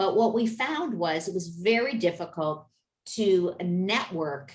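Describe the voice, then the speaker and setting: A woman talks at a very slow pace. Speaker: business network founder. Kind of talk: video meeting presentation.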